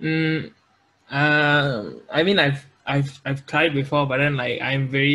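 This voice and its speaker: This man speaks with a Malaysian accent. His voice sits fairly high. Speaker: YouTuber making music compilations. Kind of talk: podcast interview. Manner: halting, many fillers and repeats.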